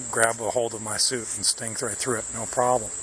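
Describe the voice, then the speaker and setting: Over noticeable background noise, a man speaks quietly at a fairly quick pace in a fairly low voice. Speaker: pest control technician. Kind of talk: on-the-job demonstration. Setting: outdoors in a yard. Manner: quiet, low voice; halting, many fillers.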